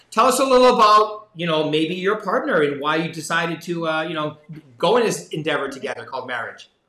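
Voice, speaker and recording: Talking at a very fast pace, a man with a high pitch is heard with audible room echo. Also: lively intonation. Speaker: sales executive, interviewer. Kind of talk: podcast interview host. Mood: friendly, bantering. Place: office. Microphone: video call.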